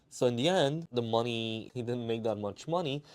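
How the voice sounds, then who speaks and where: A man talks at a moderate pace. He speaks with a Romanian accent. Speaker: watch dealer and collector. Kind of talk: casual explainer monologue.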